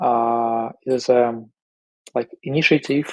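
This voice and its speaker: At a very slow pace, a man with a medium pitch talks with fairly even intonation in a dry, close sound with no echo. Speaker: indexer participant. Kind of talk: online community meeting discussion. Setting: Discord voice channel. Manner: halting, many fillers.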